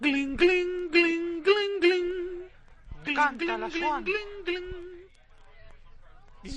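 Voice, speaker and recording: Using a put-on character voice with extremely high pitch, the speaker goes at a very slow pace with long, frequent pauses and big swings in loudness. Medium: fan dub.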